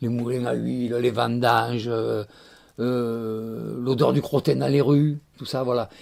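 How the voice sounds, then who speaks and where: Very slowly, a man speaks at medium pitch. His intonation stays fairly even. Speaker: Provençal storyteller. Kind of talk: interview answer about storytelling and Provence of the past. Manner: warm, nostalgic, expressive.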